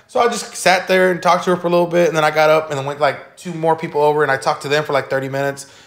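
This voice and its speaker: A man with an American accent at a fairly high pitch and ordinary pitch variation, very fast with hardly any pauses, over noticeable background noise. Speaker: podcast guest. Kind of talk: casual chat. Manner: loud.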